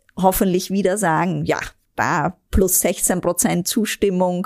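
On a very clean recording with a silent background and a dry, close sound with no echo, a woman with a slight Austrian accent speaks at a medium pitch and fairly slow pace, with vocal fry. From Austria, Vienna. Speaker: vice president of a relief organisation. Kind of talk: interview.

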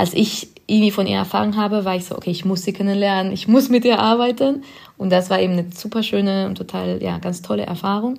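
With a Spanish accent, a woman speaks at a very fast pace. Her pitch is medium and her intonation fairly even. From Spain. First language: Spanish (speaking German). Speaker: film director. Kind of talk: podcast interview.

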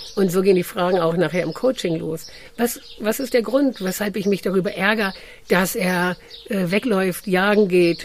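Noticeable background noise sits under a voice moving at a moderate pace with ordinary pitch variation. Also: woman, medium pitch for a woman. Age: 50s. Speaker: dog trainer and coach. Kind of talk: casual interview.

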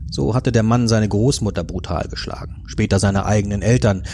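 An unremarkable speaking voice from a man, fairly low in pitch, with ordinary pitch variation at a moderate pace. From northern Germany. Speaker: podcast co-host, thriller author. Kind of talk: narrated crime story; casual chat.

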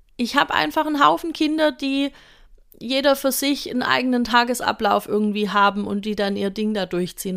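In a very clean recording with a silent background, a woman talks at a moderate pace in a high pitch with ordinary pitch variation. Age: 30s. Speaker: early childhood educator and podcast host. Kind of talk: solo educational podcast talk. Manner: casual, conversational.

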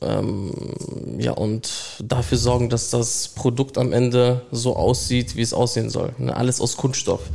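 A man speaks at a fairly slow pace in a medium pitch, his dark, mellow tone held in a monotone, flat intonation. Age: young. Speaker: apprentice process mechanic. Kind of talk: interview.

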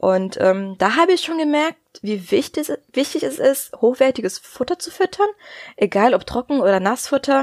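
A woman with a high pitch and very wide pitch swings at a moderate pace, in a dry, close sound with no echo. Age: 20s. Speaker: dog nutrition consultant and veterinary assistant. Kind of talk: interview.

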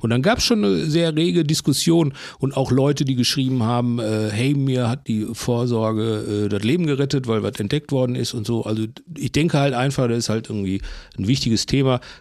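A man talks at a medium pitch and a fairly quick pace. He has a normal speaking voice with ordinary pitch variation. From Bochum, Ruhr area. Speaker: cartoonist and podcast host. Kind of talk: casual chat.

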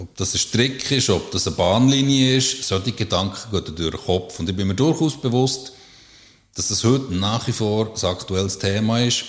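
A man's unremarkable speaking voice, fairly low in pitch with ordinary variation, at a moderate pace. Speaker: psychological counsellor. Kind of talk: casual interview. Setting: counselling practice.

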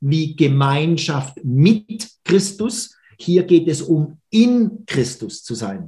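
With lively intonation, a man speaks very slowly in a fairly high voice that has a dark, mellow tone. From Baden-Württemberg, Schwenningen. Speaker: church minister. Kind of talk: podcast interview. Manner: hesitant fillers.

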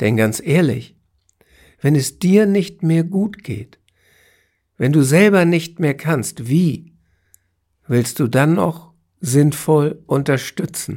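A man's dark, mellow tone at a fairly high pitch, with lively intonation, a very slow pace and long, frequent pauses, on a very clean recording with a silent background. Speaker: cancer coach and podcast host. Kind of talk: solo podcast monologue.

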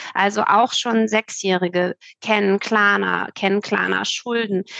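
A woman speaks fairly slowly at medium pitch with fairly even intonation, in a normal speaking voice. The sound is dry and close, with no echo. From Hamburg, northern Germany. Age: 30s. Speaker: nonprofit founder in financial education. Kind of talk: podcast interview.

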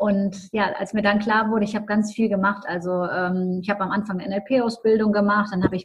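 Somewhat breathy and fairly high in pitch, a woman speaks at a fairly quick pace with fairly even intonation. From Düsseldorf, Germany. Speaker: mental coach and business mentor. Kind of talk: interview.

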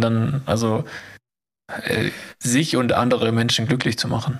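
The man's intonation stays monotone and flat as he talks at a moderate speed. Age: 30s. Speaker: podcast co-host. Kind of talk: casual chat.

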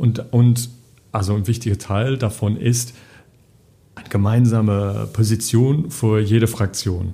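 Somewhat breathy and dark, mellow in tone, a man of medium pitch speaks fairly slowly with fairly even intonation and long, frequent pauses. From England. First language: English (speaking German). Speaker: parliamentary group policy adviser. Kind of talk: casual interview. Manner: halting, many fillers.

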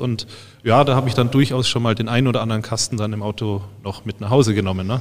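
Very fast and at medium pitch, a man speaks with ordinary pitch variation in a very clean recording with a silent background. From Bavaria (Freising/Munich area). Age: 30s. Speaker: university researcher, head of a test lab for beer dispensing systems. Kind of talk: casual expert interview.

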